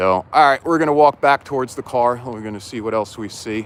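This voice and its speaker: Recorded dry and close with no echo, a man with a New Jersey accent talks at a moderate pace with ordinary pitch variation. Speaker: livestreamer exploring abandoned malls. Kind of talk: live-stream walkthrough. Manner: casual, filler-heavy.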